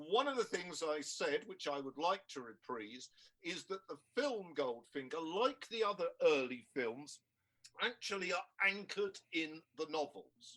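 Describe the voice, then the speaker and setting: Speaking at a fairly slow pace with a British accent, a man has a high pitch, very wide pitch swings and a bright, sharp tone. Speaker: historian. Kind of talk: mock-trial argument.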